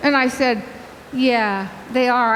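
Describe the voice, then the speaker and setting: A woman talks at a high pitch with audible room echo. Noticeable background noise is also present. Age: 80s+. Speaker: vegan health coach and speaker. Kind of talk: conference talk. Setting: stage with audience. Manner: animated, talkative.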